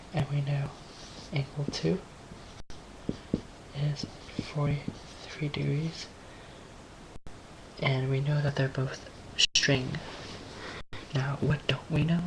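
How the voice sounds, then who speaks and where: Soft-spoken words come at a very slow pace over noticeable background noise. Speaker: amateur physics tutorial maker. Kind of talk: tutorial. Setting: home, late at night. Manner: quiet, speaking softly; hesitant, many fillers.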